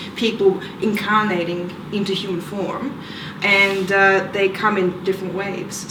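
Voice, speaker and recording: Moderate pace and fairly even intonation, with noticeable background noise and audible room echo. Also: woman. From Australia, Victoria. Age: 20s. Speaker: interviewee, self-described alien contactee. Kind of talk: interview. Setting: conference. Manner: halting, many fillers.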